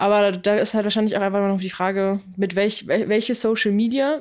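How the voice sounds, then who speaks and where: On a very clean recording with a silent background, a woman speaks in a plain, everyday voice at medium pitch. Her pace is fairly quick and her intonation fairly even. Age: 20s. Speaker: podcast co-host. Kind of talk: casual chat.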